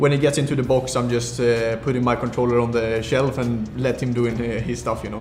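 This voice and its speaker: A man talks at a very fast pace with a medium pitch. The room echo is audible and the background noise is noticeable. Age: 20s. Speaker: esports player. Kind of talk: recorded interview.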